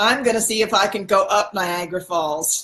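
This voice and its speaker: Lively intonation marks this woman's speech. Her pitch is medium and her pace moderate. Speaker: spiritual channel host. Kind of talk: livestream monologue. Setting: livestream. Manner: halting; loud.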